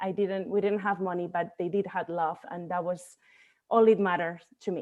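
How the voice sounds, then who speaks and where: The speaker is a woman. She has a Spanish accent. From Spain, Barcelona. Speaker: bodybuilding coach. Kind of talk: podcast interview.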